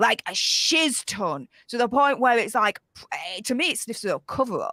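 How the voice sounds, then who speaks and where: A woman with a high pitch and a bright, sharp tone speaks at a moderate pace. The recording is very clean, dry and close, with a silent background and no echo. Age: 30s. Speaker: YouTube commentator. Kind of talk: casual chat. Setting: livestream.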